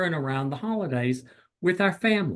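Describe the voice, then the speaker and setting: Against a quiet background, a voice with a Southern US accent moves through very wide pitch swings. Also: man. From US South. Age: 60s. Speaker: clinical psychologist. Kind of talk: lecture. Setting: video call.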